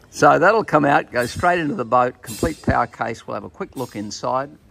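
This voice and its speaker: Faint music sits in the background. Over it, a man talks at a fairly quick pace. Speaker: presenter. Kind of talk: product demo commentary. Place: workshop. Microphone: phone near.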